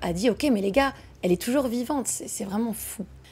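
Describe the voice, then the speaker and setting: Music plays in the background while the speaker talks with lively intonation. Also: woman. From France and Quebec. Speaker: true crime storyteller. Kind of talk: casual true crime narration.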